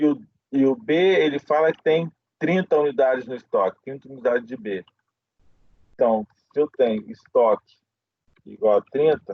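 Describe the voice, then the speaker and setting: A man's fairly high voice at a moderate pace, with lively intonation and long, frequent pauses. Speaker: professor. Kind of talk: lecture.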